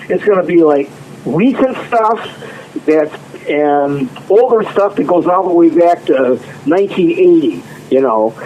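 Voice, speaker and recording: Noticeable background noise sits behind a man with a high pitch. He talks at a fairly slow pace with lively intonation. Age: 60s. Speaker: drummer and singer-songwriter. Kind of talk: interview.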